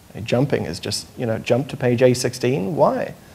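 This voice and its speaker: Here a man is speaking. He has a British accent. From United Kingdom. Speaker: journalist, panelist. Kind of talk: panel discussion. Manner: hesitant, many fillers.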